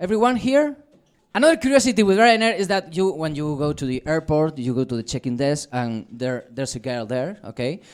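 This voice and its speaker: A man with a Spanish accent, lively intonation, moderate pace. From Spain. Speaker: stand-up comedian. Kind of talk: stand-up. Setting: stage with audience. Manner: halting.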